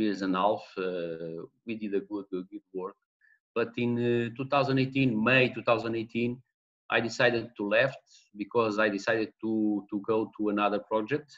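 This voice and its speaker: A man with a Portuguese accent speaks at a fairly slow pace and a medium pitch. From Portugal. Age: 40s. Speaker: football manager. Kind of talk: interview. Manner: halting.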